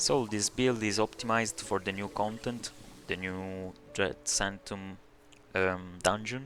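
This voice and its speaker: With a non-native accent, a man talks fairly slowly at a fairly low pitch, his intonation fairly even and broken by long, frequent pauses. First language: not English. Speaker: video game tutorial creator. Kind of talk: game build tutorial. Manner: halting, many fillers.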